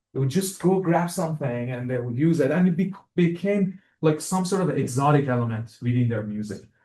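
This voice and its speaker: Somewhat breathy and dark, mellow in tone, a man with an Iranian accent and a fairly high pitch talks at a fairly quick pace. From Iran, Tehran. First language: Persian. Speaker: music professor and composer. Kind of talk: lecture. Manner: halting, many fillers and repetitions.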